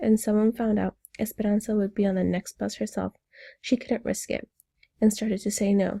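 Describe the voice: A quiet background behind plain reading aloud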